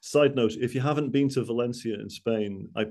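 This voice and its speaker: A man with a Mancunian accent, a dark, mellow tone and fairly even intonation. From Manchester, northern England. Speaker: travel industry speaker. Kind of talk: business presentation. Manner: hesitant, many fillers and repeats.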